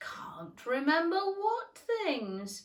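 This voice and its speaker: In a put-on character voice, a woman speaks at a high pitch. Her pitch swings very widely. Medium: read story. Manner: curt, short remarks.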